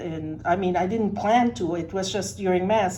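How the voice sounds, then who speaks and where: A medium-pitched woman's voice with a Spanish accent and audible room echo. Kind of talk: personal testimony in a workshop.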